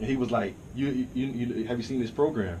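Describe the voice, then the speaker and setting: A man's voice at medium pitch, with ordinary pitch variation, a moderate pace and audible room echo. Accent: American. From US South (Dallas, Texas; later Virginia). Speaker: rapper and songwriter. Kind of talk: casual chat.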